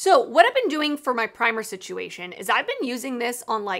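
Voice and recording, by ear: At a moderate pace, a woman speaks with a fairly bright tone, fairly high pitch and big pitch swings.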